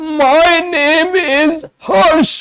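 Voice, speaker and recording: A put-on character voice is used here. The pitch is high. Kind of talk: clinical demonstration.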